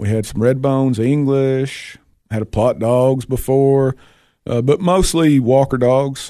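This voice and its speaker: A man speaks at a fairly slow pace in a Tennessee accent, his medium-pitched voice carrying a dark, mellow tone. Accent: Southern US (Tennessee). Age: 40s. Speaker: raccoon hunter. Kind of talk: casual chat.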